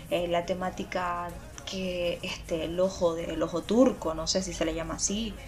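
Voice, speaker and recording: A woman's fairly low voice at a moderate pace, fairly even in intonation, with music in the background. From Venezuela. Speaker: podcast co-host. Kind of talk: casual chat.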